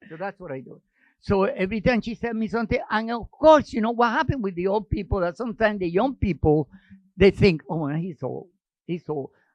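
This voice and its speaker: Lively in intonation and fairly quick, a man with a Spanish accent speaks at a high pitch with big swings in loudness. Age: 80s+. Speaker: actor. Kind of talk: casual chat.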